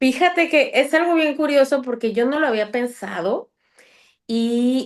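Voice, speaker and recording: Against a quiet background, a woman talks at a moderate pace in a high pitch with lively intonation. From Mexico City, later Chiapas. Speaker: podcast guest. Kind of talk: interview. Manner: loud; animated.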